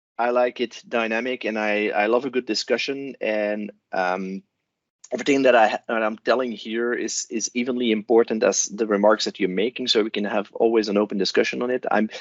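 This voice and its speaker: A man with a Flemish accent delivers his words at a fairly quick pace in a monotone, flat intonation, medium in pitch, with a dry, close sound and no echo. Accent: Belgian (Flemish) English. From Belgium. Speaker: cloud solution architect. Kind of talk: conference talk. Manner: hesitant, many fillers.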